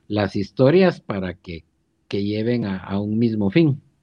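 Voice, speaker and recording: A man talks with lively intonation. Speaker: podcast co-host. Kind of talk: casual chat.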